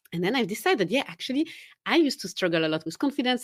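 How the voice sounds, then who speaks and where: A woman speaks with a Swiss French accent, her pitch swinging very widely, in a very clean recording with a silent background. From Switzerland, Geneva. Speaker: confidence coach. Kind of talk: podcast interview.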